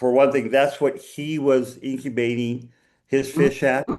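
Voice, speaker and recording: With an American accent, a man talks at a fairly slow pace and medium pitch in a normal speaking voice. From United States. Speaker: fish biologist, researcher. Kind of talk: Q&A after a lecture.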